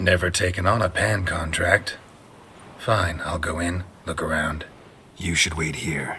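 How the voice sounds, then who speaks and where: A man in a put-on character voice speaks at a moderate pace with a very deep, low pitch and a deadpan tone, leaving long, frequent pauses against clear background noise. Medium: video game. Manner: terse, deadpan.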